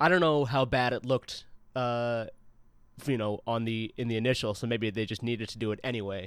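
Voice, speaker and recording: In an ordinary speaking voice, a man with an American accent talks fairly quickly at a medium pitch with ordinary pitch variation. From US Midwest, St. Louis. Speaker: podcast guest. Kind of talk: casual chat. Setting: video call.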